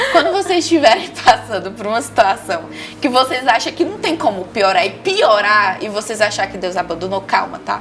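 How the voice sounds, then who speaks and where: A woman with a Maranhão accent talks at a fairly high pitch, her voice making very wide pitch swings. Her loudness swings widely too, with music playing in the background. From Maranhão, Brazil. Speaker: entrepreneur giving faith testimony. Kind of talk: testimony. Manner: fast.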